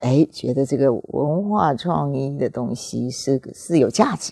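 A woman with a Taiwanese accent at a very slow pace. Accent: Taiwanese Mandarin. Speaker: former museum director. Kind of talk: interview. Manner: halting; formal.

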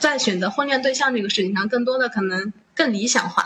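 A plain, everyday voice with a fairly quick pace and lively intonation. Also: woman. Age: 20s. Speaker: podcast host. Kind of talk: casual chat.

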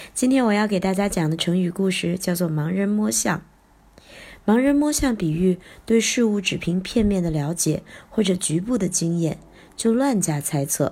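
Somewhat breathy and dark, mellow in tone, a woman talks at a moderate pace with lively intonation. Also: medium pitch for a woman. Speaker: children's storytelling teacher. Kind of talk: storytelling for children. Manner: animated, acts out characters' lines.

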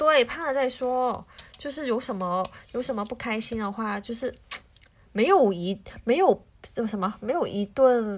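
A woman speaks in an ordinary speaking voice at a fairly slow pace, her fairly high pitch carrying lively intonation. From Hong Kong. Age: young. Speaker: home cook, office worker. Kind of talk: casual chat.

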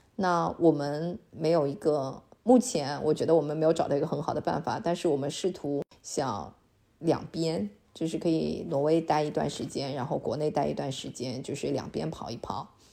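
A woman speaks at a moderate pace in a very deep, low pitch with ordinary pitch variation. Her dark, mellow tone carries vocal fry. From China. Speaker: online Chinese teacher and immigrant. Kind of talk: podcast interview.

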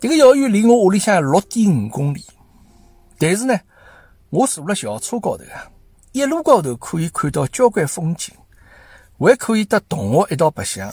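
A man speaks at a high pitch with very wide pitch swings and big swings in loudness. The sound is dry and close with no echo, and he takes long, frequent pauses. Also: very clean recording, silent background. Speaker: podcast host. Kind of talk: casual commentary monologue. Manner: halting, many fillers.

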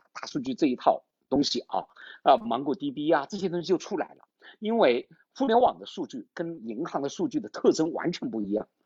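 A man at a fairly quick pace with very wide pitch swings. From China, Changsha, Hunan. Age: 50s. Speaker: tech startup founder and CEO. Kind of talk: interview, casual conversation. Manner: hesitant, many fillers.

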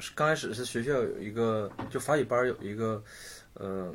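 A man speaks in a somewhat breathy voice. His pace is moderate, with ordinary pitch variation. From Shenyang, Liaoning, northeast China. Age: 30s. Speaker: painter. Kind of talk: casual chat.

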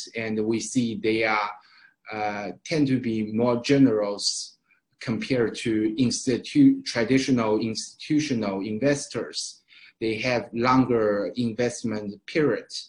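The man speaks at a very slow pace with a Chinese accent. His pitch is medium and his intonation fairly even. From Shanghai, China. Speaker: event host, startup accelerator staff. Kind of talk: webinar moderation. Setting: online webinar. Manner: halting, many fillers.

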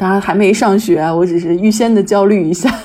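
With noticeable background noise, a woman speaks at a fairly quick pace and a medium pitch with ordinary pitch variation. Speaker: writer and stay-at-home mother. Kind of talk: casual chat.

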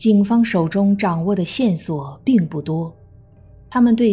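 Music in the background behind a woman's medium-pitched voice, lively in intonation and fairly slow in pace. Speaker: true crime podcast narrator. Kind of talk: true-crime narration, scripted storytelling. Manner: grave, measured, steady, suspenseful; formal, even, newsreader-like.

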